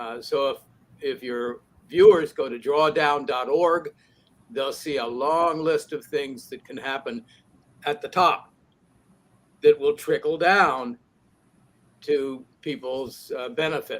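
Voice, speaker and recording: The speech goes at a very slow pace with long, frequent pauses, ordinary pitch variation and big swings in loudness. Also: man, fairly high pitch for a man. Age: 80s+. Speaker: professor and climate author. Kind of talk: panel discussion.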